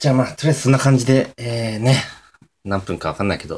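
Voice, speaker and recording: With ordinary pitch variation, a man speaks in a somewhat breathy voice. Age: 20s. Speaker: amateur podcaster. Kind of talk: casual solo talk. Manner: hesitant, many fillers.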